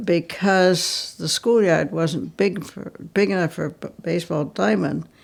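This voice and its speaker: A woman with a New England accent and vocal fry speaks at a fairly slow pace, with big swings in loudness. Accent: rural New England. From Vermont. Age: 90s. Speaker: interviewee. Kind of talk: reminiscence interview. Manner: halting.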